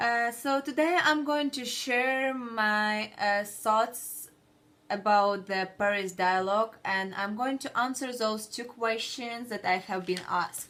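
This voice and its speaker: This woman talks at a very slow pace in a bright, sharp tone. Her pitch is fairly high, with ordinary variation. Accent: non-native. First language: not English. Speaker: student. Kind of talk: class presentation. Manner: halting, with many fillers.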